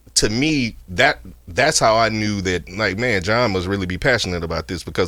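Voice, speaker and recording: On a very clean recording with a silent background, a man with a Louisiana accent speaks at a fairly low pitch and a moderate pace, his tone bright and sharp and his intonation lively. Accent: Southern US (Louisiana). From northern Louisiana, US South. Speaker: podcast host. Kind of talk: podcast interview. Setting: studio.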